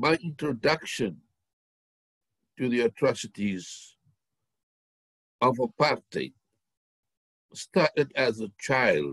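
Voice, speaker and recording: With vocal fry and lively intonation, a man speaks at medium pitch at a very slow pace, leaving long, frequent pauses, in a dry, close sound with no echo. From South Africa, Cape Town (District Six). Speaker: former political prisoner. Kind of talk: testimony.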